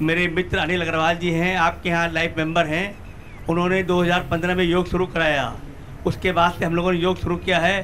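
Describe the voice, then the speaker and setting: A man with a high-pitched voice talks in a monotone, flat intonation while noticeable background noise fills the recording. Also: moderate pace, very even loudness. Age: 70s. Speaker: yoga practitioner, audience member. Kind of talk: testimony.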